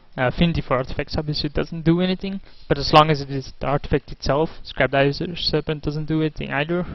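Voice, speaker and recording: Speaking very fast with hardly any pauses, a man with a non-native accent uses a fairly high pitch and fairly even intonation. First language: not English. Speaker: gaming video creator. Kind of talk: gameplay commentary monologue. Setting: at home. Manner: hesitant, many fillers.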